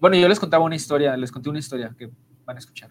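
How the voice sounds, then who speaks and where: This man's pitch is fairly high. It varies in an ordinary way. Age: 20s. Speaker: podcast co-host. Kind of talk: casual chat.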